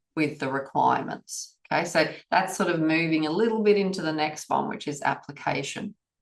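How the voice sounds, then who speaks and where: A woman with an Australian accent, a very deep, low pitch and lively intonation. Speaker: auditor trainer. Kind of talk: webinar presentation. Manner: casual.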